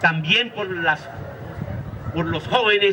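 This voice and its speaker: Over noticeable background noise, a man speaks in a raised, projected voice at a fairly slow pace with ordinary pitch variation. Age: 60s. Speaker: teacher and social activist. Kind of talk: lecture. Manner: halting, with frequent repetitions.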